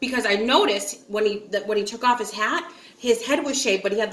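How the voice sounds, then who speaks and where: With an American accent and lively intonation, a woman talks at a fairly quick pace and a fairly high pitch. Background noise is noticeable. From upstate New York, small town. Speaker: vlogger. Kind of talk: casual storytelling chat. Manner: chatty, filler-heavy.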